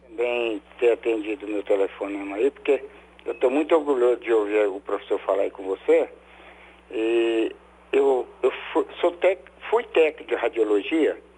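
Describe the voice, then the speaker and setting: Clearly audible noise sits in the background. The male speaker's pace is fairly slow. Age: 60s. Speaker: caller, former radiology technician. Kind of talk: live phone-in call. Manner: halting.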